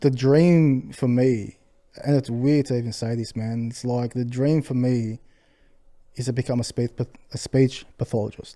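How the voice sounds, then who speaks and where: Fairly even intonation and a dark, mellow tone carry this moderately paced voice with an Australian accent. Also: man, medium pitch for a man. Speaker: restaurant owner. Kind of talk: podcast interview. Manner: mumbling.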